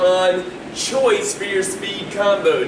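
A man's high-pitched voice with ordinary pitch variation over noticeable background noise. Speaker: martial arts instructor. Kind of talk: announcement to students. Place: empty room. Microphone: camera far.

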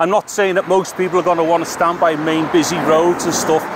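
There is noticeable background noise as a man talks very fast in a dry sound with no echo. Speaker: tech reviewer. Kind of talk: casual vlog tutorial. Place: street. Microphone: handheld.

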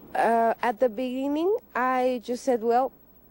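A woman's dark, mellow tone at a very slow pace, with fairly even intonation and a dry sound with no echo. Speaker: interviewee. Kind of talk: interview answer. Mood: calm, reflective. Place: open country.

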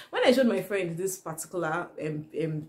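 Somewhat breathy and fairly low in pitch, a woman speaks with a dark, mellow tone and lively intonation. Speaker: vlogger. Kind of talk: casual vlog chat. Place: home room.

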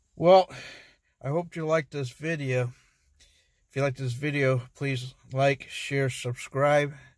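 A man talks at a moderate pace in a somewhat breathy voice. The sound is dry with no echo, over a quiet background. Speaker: fishing vlogger. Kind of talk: casual vlog chat. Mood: mildly disappointed, relaxed. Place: car. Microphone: phone near.

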